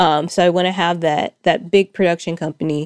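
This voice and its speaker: A woman with an American accent talks at a moderate pace, with ordinary pitch variation and vocal fry. The sound is dry and close with no echo, on a very clean recording with a silent background. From Arkansas, US South. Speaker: writer and producer. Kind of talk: interview. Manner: halting.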